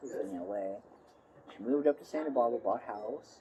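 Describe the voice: A woman speaks at a moderate pace with extremely low pitch and ordinary pitch variation. Her tone is dark and mellow, with a husky, rough edge.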